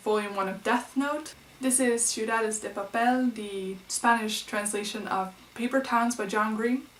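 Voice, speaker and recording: With noticeable background noise behind her, a woman with a Dutch accent speaks at a moderate pace in a fairly high pitch with fairly even intonation. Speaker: book vlogger. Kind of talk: casual vlog.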